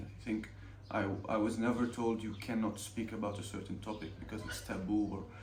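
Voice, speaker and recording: Noticeable background noise under a man's fairly low-pitched voice. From Ramallah, Palestine. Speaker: film student, director and cinematographer. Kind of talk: interview answer.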